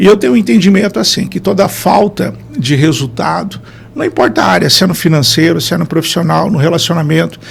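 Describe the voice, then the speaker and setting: A man's high-pitched voice at a fairly quick pace, ordinary pitch variation, music playing in the background. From Brazil, interior of Paraná (Maringá region). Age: 40s. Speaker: neurotherapist, performance consultant. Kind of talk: podcast interview.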